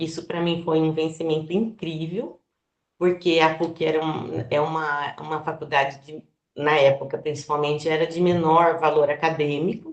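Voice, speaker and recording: In a flat monotone, a woman speaks with a very deep, low pitch. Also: moderate pace. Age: 60s. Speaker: biologist and florist. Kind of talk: presentation to online community. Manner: hesitant, many fillers.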